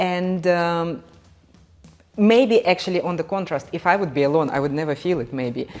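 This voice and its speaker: Music plays in the background. A woman with a fairly low pitch speaks at a moderate pace with ordinary pitch variation. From Belarus. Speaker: vlogger. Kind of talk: casual chat.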